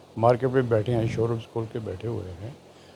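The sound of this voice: The voice has vocal fry, a slightly husky edge and a dark, mellow tone. It moves at a moderate pace. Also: man.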